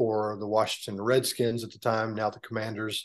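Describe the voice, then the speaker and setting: Over a quiet background, a man talks at a fairly quick pace with an American accent. He has an unremarkable speaking voice. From Texas. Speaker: former NFL punter and political candidate. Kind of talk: interview.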